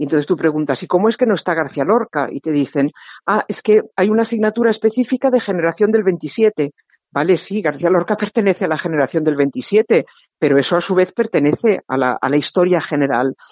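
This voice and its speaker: A woman with an ordinary speaking voice talks at a fairly quick pace. Her pitch is fairly low and her intonation lively. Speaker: novelist and professor. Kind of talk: interview.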